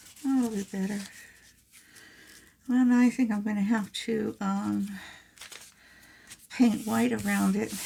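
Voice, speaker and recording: A quiet woman at a fairly slow pace, with long, frequent pauses. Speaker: crafting youtuber. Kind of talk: craft tutorial. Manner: hesitant with fillers.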